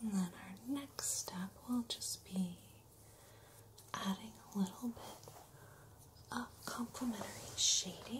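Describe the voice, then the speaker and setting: A woman whispers at a very slow pace with long, frequent pauses over light background noise. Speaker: body painter. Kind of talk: ASMR body painting. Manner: whispered, soothing. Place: studio.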